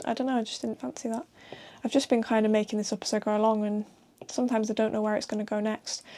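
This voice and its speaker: A soft-spoken woman at a very fast pace, fairly high in pitch, with a dark, mellow tone. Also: fairly even intonation. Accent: northern English. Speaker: comic artist. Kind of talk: casual talk while drawing.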